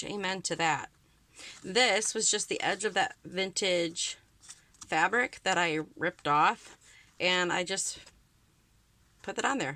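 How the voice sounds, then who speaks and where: A woman's voice at medium pitch with ordinary pitch variation, a bright, sharp tone, a very slow pace and long, frequent pauses. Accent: Wisconsin. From Wisconsin. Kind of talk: casual crafting talk to camera. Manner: chatty, upbeat.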